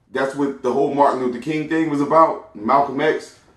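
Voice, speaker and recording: A man speaking at a moderate pace. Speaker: podcast host. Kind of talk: solo commentary podcast. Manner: casual, conversational.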